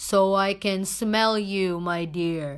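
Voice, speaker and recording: A woman puts on a character voice at a medium pitch. The recording is very clean, with a silent background. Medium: read story. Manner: sly.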